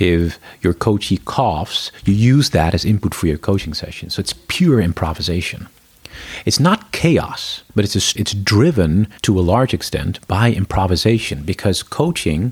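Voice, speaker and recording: A man's somewhat breathy voice sits fairly low in pitch and carries lively intonation. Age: 40s. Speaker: corporate culture lead and coach. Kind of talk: interview.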